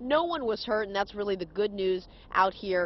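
A woman talks at a fairly quick pace. The sound is dry, with no echo. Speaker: TV news reporter. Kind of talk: live news report. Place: street. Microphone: handheld.

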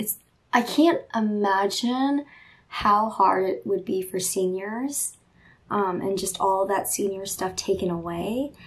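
Very slow speech from a woman, with pitch moving in an ordinary way. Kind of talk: casual vlog chat. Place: home room. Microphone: phone near.

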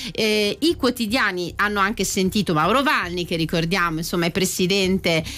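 At a moderate pace, a woman speaks in a plain, everyday voice, with a medium pitch and ordinary pitch variation. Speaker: radio host. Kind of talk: casual chat. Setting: studio. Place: studio. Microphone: studio mic.

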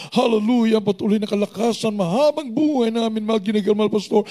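Against a quiet background, a man speaks at a fairly quick pace in an extremely high pitch. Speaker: prayer leader; pastor leading prayer. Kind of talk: fervent deliverance prayer; prayer. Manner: loud, shouting, repeating commands like 'cast out' with rising intensity. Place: church. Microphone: handheld.

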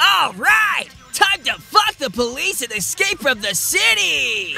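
Shouting in a put-on character voice, a man delivers his lines at a fairly slow pace. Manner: brash, irritable, sarcastic.

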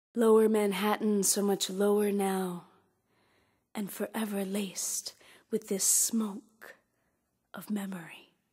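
A woman's dark, mellow, somewhat breathy voice at medium pitch, at a very slow pace. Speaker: poet and spoken word performer. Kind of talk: spoken word poetry performance.

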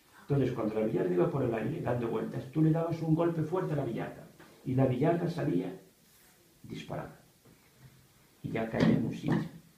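A man's medium-pitched voice, dark and mellow with vocal fry, lively intonation, a moderate pace and strong room echo

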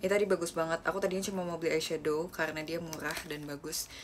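A woman with a very deep, low pitch and fairly even intonation at a very fast pace, with noticeable background noise. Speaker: idol live streamer. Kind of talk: casual vlog chat. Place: home room. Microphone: phone near.

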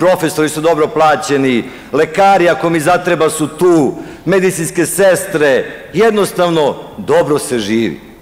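A man's voice at a moderate pace with ordinary pitch variation. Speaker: opposition politician. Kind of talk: political rally speech. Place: hall. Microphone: podium.

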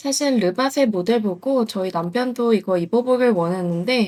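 The voice is somewhat breathy and playful in tone, with lively intonation at a moderate pace. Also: woman. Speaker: newlywed wife vlogger. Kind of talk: casual voiceover narration of vlog. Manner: cute, playful.

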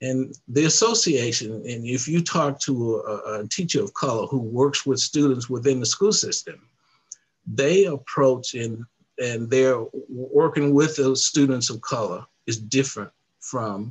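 A man's medium-pitched, somewhat breathy voice in an American accent, fairly slow, with ordinary pitch variation. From US South. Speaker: civil rights organization president. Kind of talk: interview. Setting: video call. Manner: halting. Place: home room. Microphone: headset.

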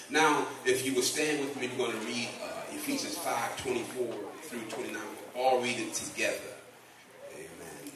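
A man speaks at a moderate speed. Audible room echo and noticeable background noise accompany him. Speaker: guest pastor. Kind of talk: sermon scripture reading. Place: church.

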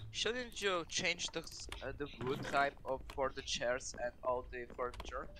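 A man with a non-native accent at a fairly slow pace, amid noticeable background noise. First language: not English. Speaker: game server player; streamer. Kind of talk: casual gaming chat. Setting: online voice chat. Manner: halting. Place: home room.

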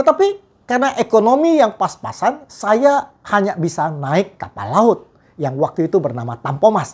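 Against a quiet background, a man with a high pitch talks at a fairly slow pace. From Riau Islands, Indonesia (Tanjung Pinang area), Chinese-Indonesian; Riau Islands, Indonesia. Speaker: evangelist preacher; evangelist. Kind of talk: sermon. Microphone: lapel.

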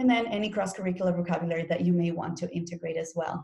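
A woman talks at a very fast pace in a fairly low pitch. Her ordinary pitch variation comes over a quiet background. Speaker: teacher workshop presenter. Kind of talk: professional development presentation. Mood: friendly and didactic. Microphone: webcam.

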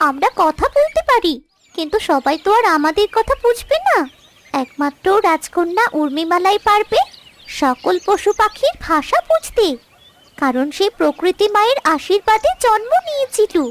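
This is a cartoonish character voice at an extremely high pitch. It moves at a fairly slow pace. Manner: gentle, reassuring.

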